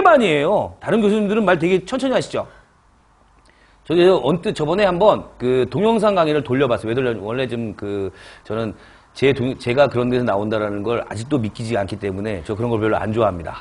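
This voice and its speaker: A man talks at a fairly quick pace in a fairly high pitch. His pitch swings very widely. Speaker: chemistry lecturer for civil service exam prep. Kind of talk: lecture. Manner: fast; loud.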